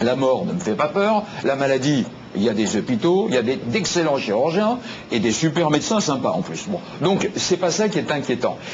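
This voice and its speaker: Over noticeable background noise, a man at a fairly high pitch speaks at a moderate pace with very wide pitch swings. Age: 60s. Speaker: health talk show guest. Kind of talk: TV talk show discussion.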